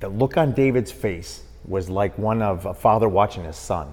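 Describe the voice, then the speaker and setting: A man with an American accent, fairly low pitch, vocal fry, lively intonation and a fairly slow pace. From Milwaukee, Wisconsin. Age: 50s. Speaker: boxing referee. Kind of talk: casual interview.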